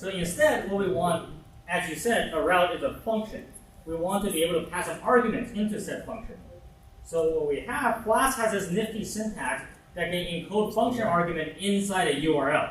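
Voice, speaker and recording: With audible room echo and noticeable background noise, a man with a high pitch talks at a moderate pace and ordinary pitch variation. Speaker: workshop instructor. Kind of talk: tutorial.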